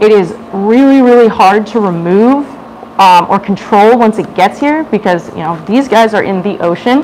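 A woman speaks at a moderate pace with ordinary pitch variation over light background noise. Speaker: educator giving a public talk. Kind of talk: lecture. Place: hall.

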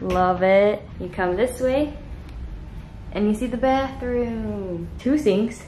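A woman speaks with ordinary pitch variation amid audible room echo and light background noise. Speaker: vlogger on honeymoon. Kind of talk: casual vlog chat. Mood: cheerful, excited. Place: home room. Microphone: phone near.

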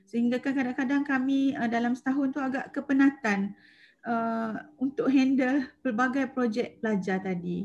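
Light background noise accompanies a woman speaking fairly slowly in a high pitch. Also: ordinary pitch variation. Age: 40s. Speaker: secondary school maths teacher. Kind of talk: webinar presentation. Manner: halting, many fillers. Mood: warm, enthusiastic. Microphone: video call.

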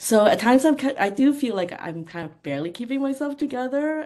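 Her pitch variation ordinary, a woman speaks at a moderate pace. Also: slightly mellow tone.

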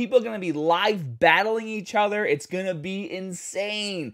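A man talks in a high pitch. The background is quiet. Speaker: mobile game streamer. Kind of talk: casual vlog commentary. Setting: at home early morning. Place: home room. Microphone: studio mic.

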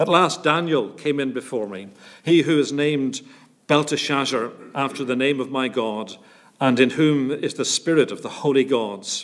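A man speaks at a moderate rate with usual pitch variation, the background quiet. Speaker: scripture reader at a church service. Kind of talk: scripture reading. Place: church.

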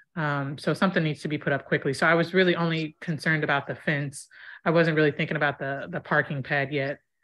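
A woman speaks at a very fast pace in a very deep, low voice over a quiet background. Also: fairly even intonation. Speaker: homeowner seeking contractor. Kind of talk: casual online networking meeting. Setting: video call. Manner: hesitant, many ums. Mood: storytelling, lightly humorous. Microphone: video call.

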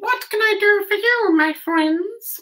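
In a squeaky, put-on character voice that sounds female, the speaker talks at a fairly slow pace with an extremely high pitch.

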